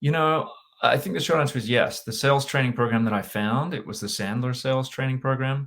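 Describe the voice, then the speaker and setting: With an Australian accent, a man talks at a fairly quick pace and medium pitch, his pitch varying in an ordinary way. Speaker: sales and leadership consultant. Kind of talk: interview.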